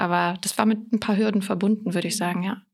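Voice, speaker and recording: A very clean recording with a silent background captures a woman speaking in a monotone with flat intonation. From Rhineland-Palatinate, Germany (Koblenz). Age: 20s. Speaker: parliamentary staffer, former first-generation student. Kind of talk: casual interview. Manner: hesitant, many fillers.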